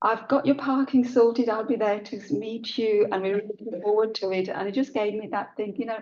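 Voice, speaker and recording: Speaking with a British accent, a woman keeps a fairly high pitch and fairly even intonation. She moves at a fairly quick pace with hardly any pauses. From India, moved to UK at seven. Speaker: high sheriff, keynote speaker. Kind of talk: keynote speech. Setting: conference hall with audience.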